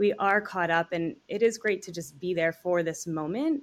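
With an American accent and ordinary pitch variation, this is an unremarkable speaking voice on a very clean recording with a silent background. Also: woman. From Long Island, New York (North Fork). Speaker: brand marketing manager. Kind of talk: interview.

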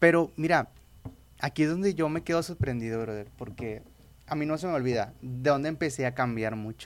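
A man's ordinary speaking voice at a fairly quick pace, with ordinary pitch variation. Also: fairly high pitch for a man. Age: 20s. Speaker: evangelical youth leader. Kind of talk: casual interview testimony.

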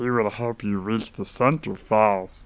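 He talks fairly slowly in a put-on character voice. This man's pitch sits in the medium range. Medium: audio drama. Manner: clipped, ominous, fatalistic.

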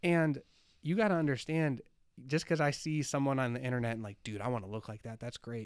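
A man with a normal speaking voice talks at medium pitch and a fairly quick pace. His intonation is lively, on a very clean recording with a silent background. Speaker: podcast host. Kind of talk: casual interview.

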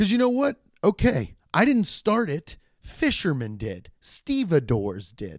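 An animated tone and lively intonation come through on a very clean recording with a silent background. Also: man. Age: 30s. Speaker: solo podcast host. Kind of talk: casual solo monologue. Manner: animated, rambling with many restarts.

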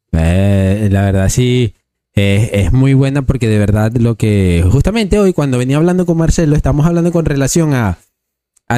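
At a moderate pace and medium pitch, a man speaks in a dark, mellow tone with very wide pitch swings. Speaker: podcast host. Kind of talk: casual interview. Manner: talkative.

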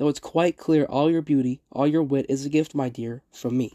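Over a quiet background, a man with a fairly high pitch and a dark, mellow tone speaks at a moderate pace with fairly even intonation. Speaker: poetry podcaster. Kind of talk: poem reading aloud, measured and literary, between analysis. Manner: formal, earnest.

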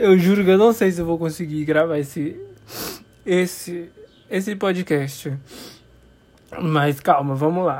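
A man at a high pitch, with long, frequent pauses. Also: ordinary pitch variation. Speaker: podcaster. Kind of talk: casual monologue. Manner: laughing; hesitant.

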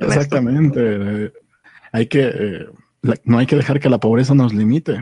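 A man talks at a moderate pace and medium pitch, with ordinary pitch variation and very even loudness. His tone is dark and mellow, and the sound is dry and close with no echo. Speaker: podcast co-host. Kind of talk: casual chat. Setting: at home.

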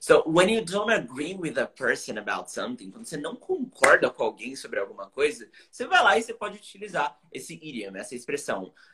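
With a Brazilian accent, a man talks at a very fast pace in an animated tone, with hardly any pauses. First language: Portuguese. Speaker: English teacher. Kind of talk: casual livestream chat, bilingual. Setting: live stream video call. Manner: animated, informal.

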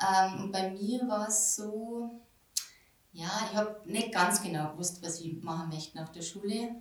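A quiet woman with medium pitch speaks in a calm tone at a fairly slow pace, with ordinary pitch variation. Noticeable background noise and audible room echo fill the recording. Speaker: market gardener and farm shop owner. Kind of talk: interview. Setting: in her farm shop. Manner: calm, quiet.

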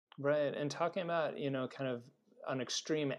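A man with a Californian accent talks with ordinary pitch variation. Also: quiet background. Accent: General American (Californian). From US West Coast (Los Angeles). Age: 40s. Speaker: chiropractor and podcast host, guest. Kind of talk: casual interview.

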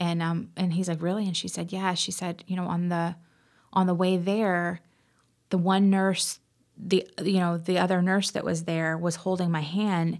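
A woman with an American accent speaks in a fairly low pitch. Her intonation is monotone and flat, and the recording is very clean with a silent background. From Indiana, US Midwest. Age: 30s. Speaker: podcast guest. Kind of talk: casual chat.

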